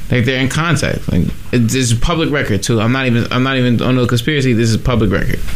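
Delivery is very fast and very even in loudness, with ordinary pitch variation and noticeable background noise. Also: man, medium pitch for a man. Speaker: radio co-host. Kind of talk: casual chat. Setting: studio.

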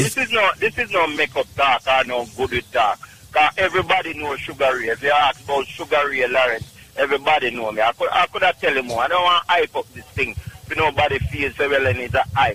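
A man with a Jamaican accent talks at a fairly quick pace in a fairly high pitch against noticeable background noise. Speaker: caller giving product testimonial. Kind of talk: phone-in testimony. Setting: phone call.

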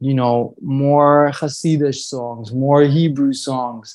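Against a quiet background, a man with an American accent speaks. His pace is very slow and his pitch fairly high. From Brooklyn, New York (Kensington). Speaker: singer and musician. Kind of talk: casual chat.

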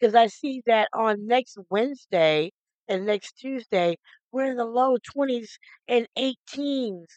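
Speaking at a fairly slow pace with ordinary pitch variation, a woman with a fairly high pitch has a plain, everyday voice, recorded with a dry, close sound with no echo. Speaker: radio DJ. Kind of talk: radio show host patter between music. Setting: radio studio broadcast. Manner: upbeat, chatty.

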